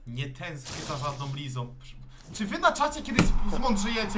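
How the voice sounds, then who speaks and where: A man is shouting in a furious tone at a high pitch with very wide pitch swings, at a moderate pace over noticeable background noise. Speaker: streamer playing FIFA. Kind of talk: angry rant. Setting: live stream while gaming. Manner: furious, swearing, exasperated, shouting. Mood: annoyed, exasperated. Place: home room.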